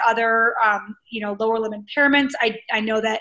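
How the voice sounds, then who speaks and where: Against a quiet background, a woman talks at a fairly high pitch with fairly even intonation. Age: 40s. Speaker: Paralympic triathlete and army veteran; interview guest. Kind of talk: interview. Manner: hesitant, filler-heavy. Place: home room. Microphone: video call.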